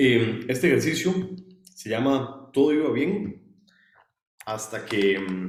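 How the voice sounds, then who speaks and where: In a room with audible echo, a man speaks at a medium pitch with lively intonation. He leaves long, frequent pauses. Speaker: student workshop instructor. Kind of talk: online workshop lecture. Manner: fast when excited; hesitant fillers.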